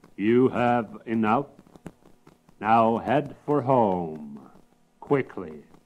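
In a gruff, put-on character voice of medium pitch, a man speaks very slowly with long, frequent pauses. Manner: gruff, commanding.

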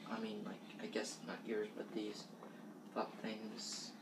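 The voice belongs to a man. Behind his speech, background noise is noticeable. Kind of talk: casual show-and-tell vlog. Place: kitchen. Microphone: webcam.

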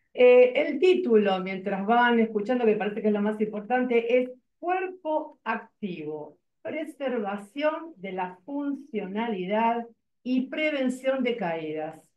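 A woman speaks at a fairly slow pace. Audible room echo surrounds her voice. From Argentina. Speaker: body expression and yoga teacher. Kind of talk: online workshop presentation. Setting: video call. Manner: animated. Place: office. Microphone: video call.

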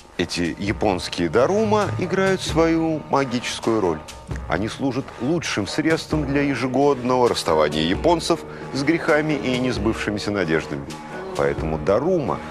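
A man speaks at a moderate pace. Clear music plays behind him. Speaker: TV presenter. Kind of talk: educational TV narration. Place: studio. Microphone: lapel.

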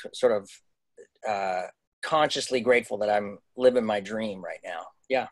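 In a Canadian accent, a man at medium pitch speaks at a moderate pace with ordinary pitch variation and big swings in loudness over a quiet background. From Canada. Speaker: Broadway actor. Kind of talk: casual interview. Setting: video call. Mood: sombre, reflective. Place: home room. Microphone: video call.

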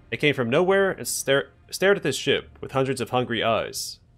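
Lively intonation in an unforced reading voice.

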